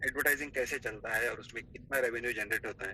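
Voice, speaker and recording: A man with a non-native accent speaks in a bright, sharp tone. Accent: non-native Hindi. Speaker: network marketing admin. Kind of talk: business presentation.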